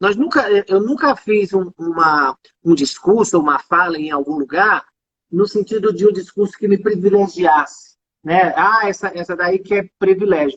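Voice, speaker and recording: This woman has a normal speaking voice at a medium pitch, with ordinary pitch variation. She talks at a moderate pace, and the sound is dry and close with no echo. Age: 40s. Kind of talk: casual chat. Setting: live video call.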